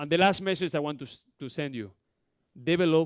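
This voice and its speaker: A man with a Spanish accent talks in a fairly high pitch with ordinary pitch variation. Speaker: basketball coach. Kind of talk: coaching clinic talk. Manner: fast.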